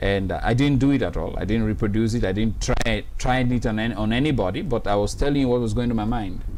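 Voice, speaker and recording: A man talks at a very fast pace with hardly any pauses, a medium pitch, ordinary pitch variation and very even loudness. Audible room echo surrounds his voice. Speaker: webinar host and anti-abuse campaigner. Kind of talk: testimony. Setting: studio. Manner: animated.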